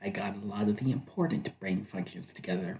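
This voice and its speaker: A quiet man speaks in a somewhat breathy voice, his pitch swinging very widely. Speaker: ASMR video creator. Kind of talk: ASMR roleplay, role-play narration to the listener. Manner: quiet, soothing, casual, playful.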